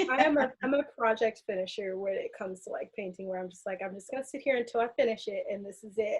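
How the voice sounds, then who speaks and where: Very fast and with hardly any pauses, a woman with an American accent speaks at a fairly high pitch, somewhat breathy, with ordinary pitch variation and big swings in loudness. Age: 20s. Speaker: aerial artist and clinical researcher. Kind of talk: podcast interview.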